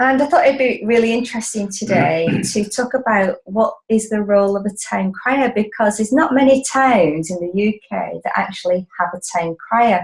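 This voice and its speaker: A woman speaks at a moderate pace with a fairly high pitch, ordinary pitch variation and hardly any pauses, over noticeable background noise. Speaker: interviewer, talk show host. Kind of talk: interview, conversational.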